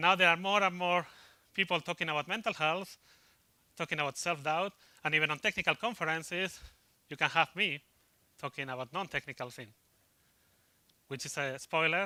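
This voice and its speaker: A man with a Spanish accent, high-pitched and bright and sharp in tone, at a fairly quick pace with long, frequent pauses and ordinary pitch variation, in a dry, close, very clean recording with a silent background. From Spain. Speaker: IT consultant. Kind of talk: conference talk. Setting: stage with audience. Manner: fast.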